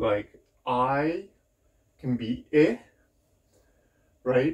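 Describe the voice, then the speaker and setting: A man speaks at medium pitch with ordinary pitch variation. It is a normal speaking voice over a quiet background. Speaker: English teacher. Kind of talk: classroom lesson for young children. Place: home room. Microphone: camera far.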